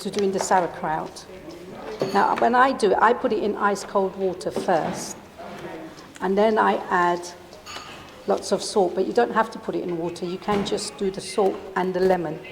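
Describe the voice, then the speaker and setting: A woman at medium pitch speaks at a moderate pace with long, frequent pauses, over noticeable background noise. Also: ordinary pitch variation. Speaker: cooking demonstrator. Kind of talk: cooking demonstration.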